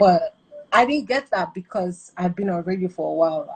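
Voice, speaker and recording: Over noticeable background noise, a woman speaks at a medium pitch and a moderate pace. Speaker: radio presenter. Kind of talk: interview. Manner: casual, animated.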